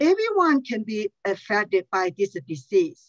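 The voice makes very wide pitch swings. The background is quiet. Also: woman. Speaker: nonprofit outreach director. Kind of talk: public testimony. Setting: video call. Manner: halting, many fillers. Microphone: headset.

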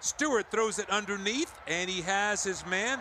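Over noticeable background noise, a high-pitched man uses a raised, projected voice with lively intonation at a fairly slow pace. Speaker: football play-by-play announcer. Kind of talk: live play-by-play game commentary. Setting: stadium broadcast.

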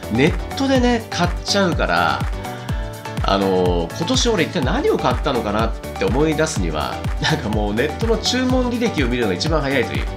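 A man at a moderate pace over clear background music. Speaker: radio DJ and wedding MC. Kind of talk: radio host talk, post-show recap. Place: home room. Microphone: lapel.

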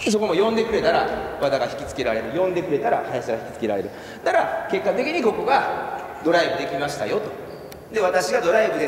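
A man talking at a fairly quick pace, with audible room echo and light background noise. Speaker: basketball coach. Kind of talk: coaching explanation to players. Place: hall. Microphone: camera far.

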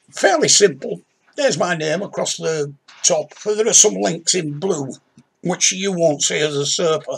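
A man with a Yorkshire accent talks at a fairly slow pace. His pitch is high, and his intonation is lively. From Yorkshire, northern England. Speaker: crime novelist. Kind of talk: tutorial. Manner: conversational. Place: home room. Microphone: webcam.

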